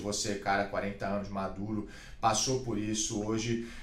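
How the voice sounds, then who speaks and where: A man speaks at a moderate pace with fairly low pitch and fairly even intonation, with audible room echo and noticeable background noise. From Brazil, Santos. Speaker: podcast host, former jiu-jitsu world champion. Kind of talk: casual interview.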